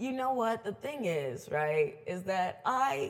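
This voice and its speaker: A woman talks in an animated, somewhat breathy tone, her pitch swinging very widely. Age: 20s. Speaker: DJ and event organizer. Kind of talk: casual chat.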